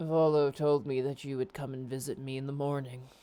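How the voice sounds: This put-on character voice is husky, with a low-to-middle pitch. It moves at a fairly quick pace.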